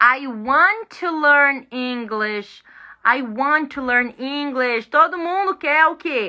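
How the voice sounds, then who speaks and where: A woman with a high pitch and a bright, sharp tone uses a raised, projected voice, speaking at a very slow pace with lively intonation against a quiet background. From Brazil. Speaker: English teacher. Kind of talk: live online lesson. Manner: animated.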